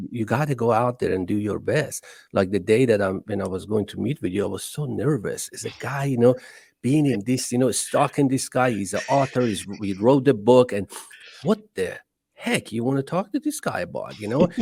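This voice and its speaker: Speaking with an Iranian accent, a man keeps a moderate pace and a medium pitch with ordinary variation. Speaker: entrepreneur. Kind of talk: podcast interview.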